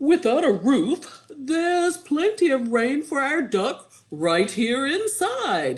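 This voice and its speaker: A put-on character voice, high in pitch with very wide pitch swings, goes very slowly with hardly any pauses. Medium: read story.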